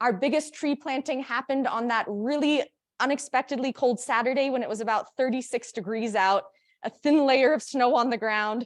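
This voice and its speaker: High female pitch with ordinary pitch variation. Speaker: conference presenter on agroforestry. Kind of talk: conference presentation. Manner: fast.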